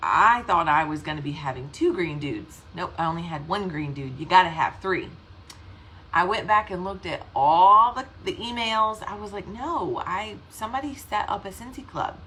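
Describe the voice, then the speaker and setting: With a Southern US accent, a woman at a medium pitch speaks at a moderate pace in an animated, bright, sharp tone, with very wide pitch swings and big swings in loudness. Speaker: direct sales team leader. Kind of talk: casual livestream talk. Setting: live video stream.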